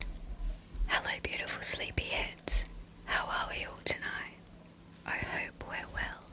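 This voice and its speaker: A woman whispers very slowly while noticeable background noise fills the recording. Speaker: bedtime story reader. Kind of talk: calm intro talk to listeners. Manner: soft-spoken.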